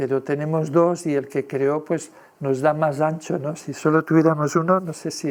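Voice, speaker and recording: A man with a fairly high pitch talks at a fairly slow pace, his intonation monotone and flat. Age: 60s. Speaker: lecturer. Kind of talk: lecture. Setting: presentation with audience. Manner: hesitant, filler-heavy.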